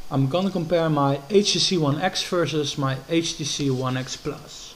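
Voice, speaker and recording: Noticeable background noise sits behind a man speaking at a moderate pace with a fairly high pitch. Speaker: tech reviewer. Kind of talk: product review. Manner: hesitant, many fillers.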